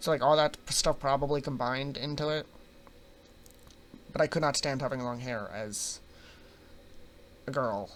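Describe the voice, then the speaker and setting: At a moderate pace and fairly high pitch, a man speaks with fairly even intonation and long, frequent pauses. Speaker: vlogger. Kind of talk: personal storytelling vlog. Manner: casual, filler-heavy.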